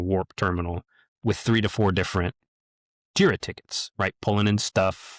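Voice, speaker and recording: Fairly quick and fairly low-pitched, a man's voice comes through dry and close, with no echo and a silent background in a very clean recording. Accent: Midwestern American. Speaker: tech podcast host. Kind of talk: casual chat.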